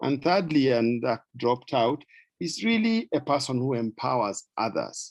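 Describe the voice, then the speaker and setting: At a moderate pace, a man with a medium-pitched voice talks with lively intonation, the sound dry and close with no echo. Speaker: pediatrician speaking at a club training. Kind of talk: presentation with slides. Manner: hesitant with fillers.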